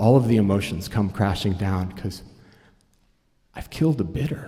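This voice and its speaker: Lively intonation runs through this man's fairly low, dark, mellow voice. He speaks at a moderate pace and sounds somewhat breathy. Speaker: fundraising auctioneer and storyteller. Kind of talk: live storytelling performance. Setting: live stage, audience.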